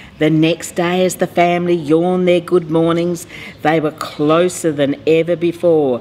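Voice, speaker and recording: A woman with a fairly low pitch speaks at a moderate pace, her intonation monotone and flat and her loudness very even. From Australia. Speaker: mayor. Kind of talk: children's picture book read-aloud.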